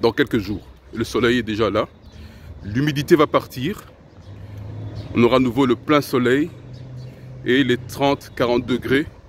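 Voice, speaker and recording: At a fairly slow pace, a man with a non-native accent talks at a medium pitch with ordinary pitch variation and long, frequent pauses. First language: not French (speaking French). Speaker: self-improvement video host. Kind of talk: casual spoken monologue to camera.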